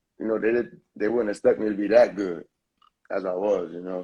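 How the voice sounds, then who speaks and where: The speaker is a man. He talks with a New York accent. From New York, Lower East Side. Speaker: rapper. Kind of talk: interview. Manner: halting.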